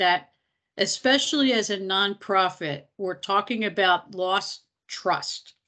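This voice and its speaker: A woman with an American accent speaks at a very slow pace in a bright, sharp tone with ordinary pitch variation, over a quiet background. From Philadelphia, US. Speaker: nonprofit technology executive; presenter. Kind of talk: webinar presentation. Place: kitchen. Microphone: video call.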